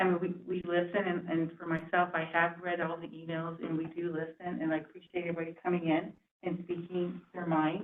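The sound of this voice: A woman talks at a fairly quick pace with a fairly low pitch. There is little movement in her pitch.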